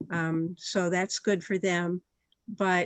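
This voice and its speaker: A woman's medium-pitched voice, very slow and monotone, with flat intonation. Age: 70s. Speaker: community member speaking at town hall. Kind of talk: town hall discussion.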